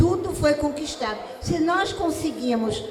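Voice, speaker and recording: Lively intonation comes through at a fairly slow pace, with noticeable background noise and audible room echo. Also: woman. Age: 70s. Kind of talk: panel talk.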